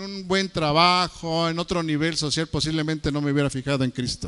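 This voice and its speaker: The tone is bright and sharp. It comes from a man. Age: 60s. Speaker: preacher. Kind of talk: sermon.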